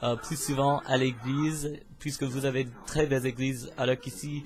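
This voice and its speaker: Over music in the background, a man speaks at a medium pitch in a monotone, flat intonation. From US, Pennsylvania. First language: English (speaking French). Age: 20s. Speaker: university student, vlogger. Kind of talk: casual self-introduction vlog. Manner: hesitant, many filler sounds.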